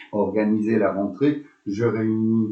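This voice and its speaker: A man talks in a fairly low pitch. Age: 60s. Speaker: school principal. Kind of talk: interview. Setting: school web radio. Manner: hesitant, many fillers.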